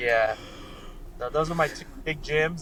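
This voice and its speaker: Over noticeable background noise, a man with an American accent speaks at a moderate pace with fairly even intonation. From US, Colorado. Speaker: bare knuckle fighter. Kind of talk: casual interview.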